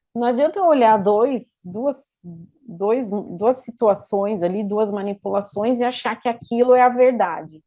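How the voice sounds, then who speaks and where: A dark, mellow tone at a fairly slow pace, with ordinary pitch variation. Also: woman, fairly high pitch for a woman. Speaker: lecturer on infection control. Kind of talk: lecture. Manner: halting, many fillers.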